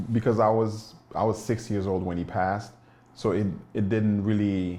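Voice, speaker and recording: A dark, mellow tone with flat, monotone intonation, in a Haitian accent. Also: man. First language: Haitian Creole. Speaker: documentary subject, immigrant. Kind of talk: documentary interview.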